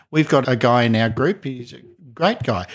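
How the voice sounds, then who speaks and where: A man with a medium pitch talks at a fairly quick pace, sounding somewhat breathy. The recording is very clean, with a silent background. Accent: Australian. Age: 60s. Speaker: speaking coach. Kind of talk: casual chat.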